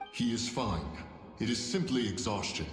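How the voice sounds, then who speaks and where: A man at a medium pitch puts on a character voice at a moderate pace, with strong echo and clear background noise. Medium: machinima. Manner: formal, archaic, authoritative.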